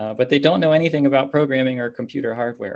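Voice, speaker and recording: With an American accent, a man speaks in an unremarkable speaking voice at medium pitch with ordinary pitch variation. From Pittsburgh, Pennsylvania, US. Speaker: computer science professor. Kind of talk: conference lecture. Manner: formal.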